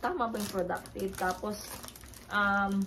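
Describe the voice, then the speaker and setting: The speech is fairly slow and delivered in a monotone, flat intonation, with noticeable background noise. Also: woman. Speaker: family vlogger. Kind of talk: casual vlog talk. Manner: halting, many fillers.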